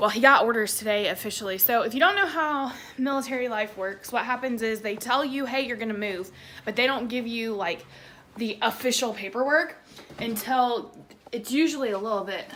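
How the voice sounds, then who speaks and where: Talking at a fairly quick pace, a woman with a Southern US accent uses a fairly high pitch and ordinary pitch variation. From Tennessee, Nashville. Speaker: vlogger, military spouse. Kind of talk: casual vlog. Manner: casual with many fillers.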